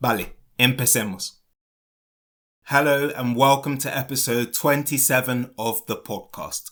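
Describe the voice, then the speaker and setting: A man speaks at a fairly slow pace with a British accent. His pitch is medium and his intonation fairly even. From London, England. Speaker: English teacher. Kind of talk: educational podcast for learners. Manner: clear, slow.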